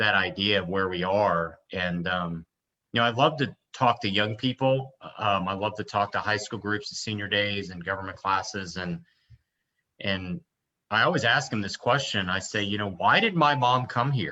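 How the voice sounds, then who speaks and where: His voice has a bright, sharp tone and a fairly low pitch for a man. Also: ordinary pitch variation, moderate pace. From US, Cuban-American family. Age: 40s. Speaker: politician. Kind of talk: interview. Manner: hesitant, many fillers.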